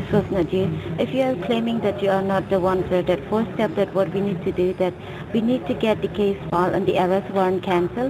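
A woman speaks at a medium pitch and a fairly quick pace, her intonation fairly even. Her loudness stays very even over noticeable background noise. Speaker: phone scammer posing as a government agent. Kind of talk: scam phone call.

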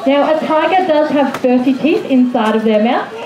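Over crowd noise in the background, a woman talks at a moderate pace with high pitch and ordinary pitch variation. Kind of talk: commentary. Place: open country.

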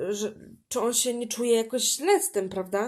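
A woman speaks with fairly even intonation. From Poland. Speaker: podcaster. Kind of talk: personal monologue. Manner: halting.

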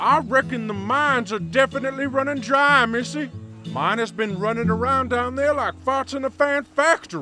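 A man speaks in a put-on character voice, drawling at a moderate pace with an extremely high pitch. His voice is raised and projected over faint background music. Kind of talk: comic overacting. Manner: genteel, boastful, drawling.

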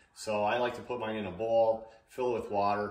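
A man with a fairly low pitch talks at a moderate pace amid audible room echo. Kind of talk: tutorial. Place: kitchen.

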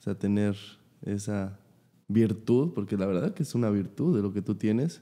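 With a dark, mellow tone, a man talks at a fairly low pitch and a moderate pace. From Mexico City. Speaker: podcast host, professional footballer; podcast host. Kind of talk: casual chat. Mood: relaxed, friendly. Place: studio. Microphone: studio mic.

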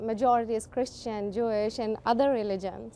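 A woman with a Pakistani accent at a fairly high pitch and moderate pace, over light background noise. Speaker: first-time voter. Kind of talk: interview answer. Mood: excited, earnest. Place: street. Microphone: handheld.

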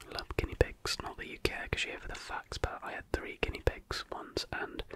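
A soft-spoken, whispering man at a fairly quick pace, dry sound with no echo, noticeable background noise. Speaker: ASMR creator. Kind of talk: soft-spoken ASMR fact reading and chat. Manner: soft close-mic ASMR whisper. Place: home room. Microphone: studio mic.

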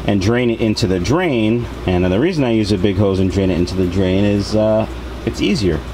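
A man's fairly low voice at a fairly quick pace, with very even loudness, ordinary pitch variation and noticeable background noise. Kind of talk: tutorial. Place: home room.

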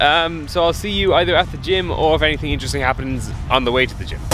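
The speech comes at a very fast pace. Faint music plays in the background, and the sound is dry with no echo. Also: man. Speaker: vlogger. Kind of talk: casual vlog chat.

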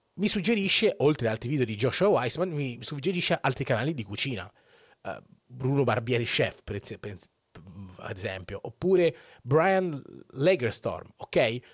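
A man's somewhat breathy, fairly high voice with very wide pitch swings, a moderate pace and long, frequent pauses, in a dry sound with no echo and a quiet background. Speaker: Twitch streamer. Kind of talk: casual monologue opinion. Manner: informal, rambling, profane. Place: home room. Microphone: studio mic.

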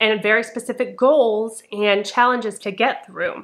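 A woman at a fairly slow pace with fairly even intonation, over a quiet background. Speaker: book vlogger. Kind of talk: casual vlog chat. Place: home room.

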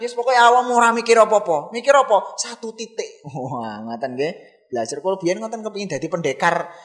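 Very fast delivery with hardly any pauses, very wide pitch swings, big swings in loudness and noticeable background noise. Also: man, high pitch for a man. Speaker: Islamic preacher. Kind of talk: sermon.

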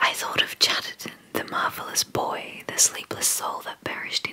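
Soft-spoken whispering at a moderate pace. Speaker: poetry reader. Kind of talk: reading poetry aloud. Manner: soft whispered ASMR poetry reading. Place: home room. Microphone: studio mic.

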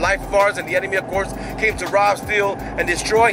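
Speaking at a very fast pace, a man is heard in a dry sound with no echo over noticeable background noise. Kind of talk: casual vlog chat. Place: car. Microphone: phone near.

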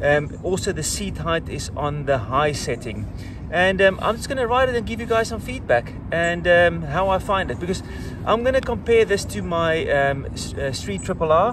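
A man speaks at a moderate pace, his voice dry and echo-free, with noticeable noise behind him. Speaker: motorcycle vlogger. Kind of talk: casual vlog chat. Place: street.

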